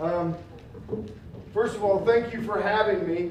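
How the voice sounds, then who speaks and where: Loud male speech with fairly even intonation, noticeable background noise and audible room echo. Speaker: public outreach manager, consumer protection speaker. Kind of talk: community presentation. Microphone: mic turned down, prefers talking without it.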